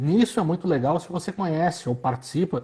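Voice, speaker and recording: A man talks at a fairly quick pace with lively intonation and a dark, mellow, somewhat breathy tone. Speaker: retail fashion consultant. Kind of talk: casual chat. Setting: instagram live video call.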